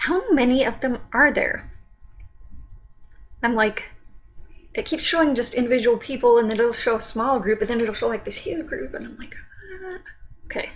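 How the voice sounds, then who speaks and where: Against noticeable background noise, a woman talks at a high pitch with lively intonation, big swings in loudness, and long, frequent pauses. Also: moderate pace. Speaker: music reaction youtuber. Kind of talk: casual reaction commentary. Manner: hesitant, many fillers.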